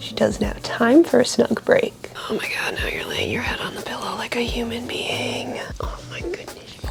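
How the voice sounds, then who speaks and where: Over background music, a woman whispers in a playful tone at a moderate pace, her loudness swinging widely. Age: 20s. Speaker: lifestyle vlogger. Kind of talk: casual talk to a pet. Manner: affectionate, playful.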